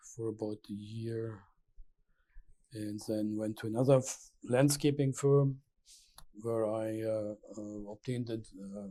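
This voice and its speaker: Speaking with a German accent in a dark, mellow tone, the voice moves at a fairly slow pace with long, frequent pauses, big swings in loudness and fairly even intonation. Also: man, medium pitch for a man. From Germany (Berlin). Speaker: landscape architect. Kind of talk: oral history interview. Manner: halting, many hesitations.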